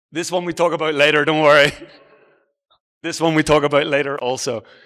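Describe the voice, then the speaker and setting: A man speaks at a fairly quick pace with a fairly high pitch. His tone is bright and sharp, and his intonation stays monotone and flat. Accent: Irish. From Ireland (Galway, Aran Islands). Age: 40s. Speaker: travel blogger and speaker. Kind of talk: conference talk. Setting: stage with audience. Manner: casual, conversational.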